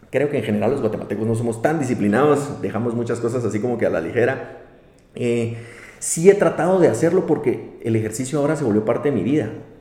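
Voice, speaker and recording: A man's medium-pitched, very fast speech with lively intonation and audible room echo. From Guatemala. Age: 30s. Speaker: insurance executive. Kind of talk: interview.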